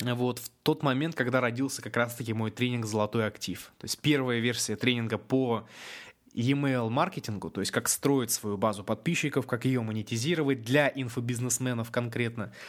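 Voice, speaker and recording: A man with a normal speaking voice at medium pitch. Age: 20s. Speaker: internet entrepreneur. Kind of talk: webinar talk. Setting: online webinar.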